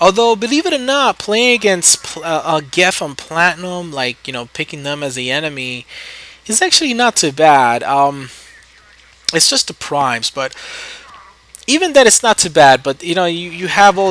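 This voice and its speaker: Lively intonation in an American accent at a moderate pace, over noticeable background noise. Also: man. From New York City, the Bronx. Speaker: gaming YouTuber. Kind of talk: gameplay commentary. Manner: casual, hesitant with fillers.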